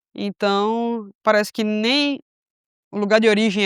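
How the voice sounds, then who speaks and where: A woman's medium-pitched voice moves at a moderate pace, its sound dry and close with no echo. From Brazil, Recife, Pernambuco. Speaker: missionary. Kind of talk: casual chat. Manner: hesitant, many fillers.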